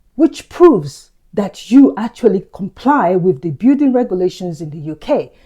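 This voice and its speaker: A woman with a medium pitch and a dark, mellow, somewhat breathy voice speaks at a moderate pace with hardly any pauses, very wide pitch swings and big swings in loudness. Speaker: property investor. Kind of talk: tutorial.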